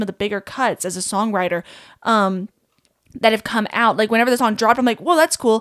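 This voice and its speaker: With an American accent, a woman speaks in a fairly high pitch, using lively intonation and an animated tone on a very clean recording with a silent background. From Kentucky, small town. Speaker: songwriter and musician. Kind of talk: casual chat.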